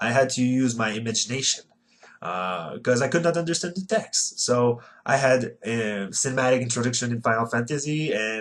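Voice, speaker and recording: A man's medium-pitched voice in a Quebec accent, at a moderate pace with ordinary pitch variation. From Quebec City, Canada. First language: French. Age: 20s. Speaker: retro gaming YouTuber. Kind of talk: casual vlog monologue. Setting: bedroom. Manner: halting.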